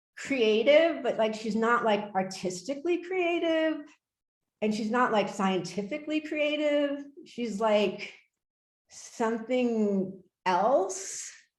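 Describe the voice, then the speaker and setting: A woman talks very slowly, and audible room echo hangs on her words. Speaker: artist and art professor. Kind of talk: lecture. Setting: video call. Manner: halting, many fillers.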